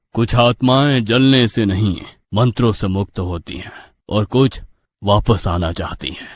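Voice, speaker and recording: A man uses a put-on character voice, solemn in tone and fairly low in pitch, with ordinary pitch variation. He speaks at a fairly slow pace on a very clean recording with a silent background. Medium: read story. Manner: solemn, grave.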